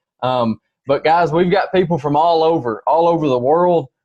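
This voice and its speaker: A man with a Tennessee accent at a moderate pace. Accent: Tennessee Southern. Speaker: business presenter. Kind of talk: sales pitch. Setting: video call. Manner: animated.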